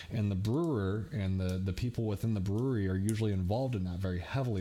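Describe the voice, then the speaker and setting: Talking at a very fast pace in an American accent, a man has a dark, mellow tone and ordinary pitch variation. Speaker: youtuber, craft beer commentator. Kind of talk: solo vlog commentary.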